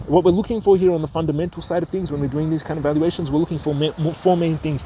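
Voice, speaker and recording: The speech moves at a very fast pace with fairly even intonation. Noticeable background noise runs underneath. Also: man, fairly high pitch for a man. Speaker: stock investing educator. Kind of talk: tutorial.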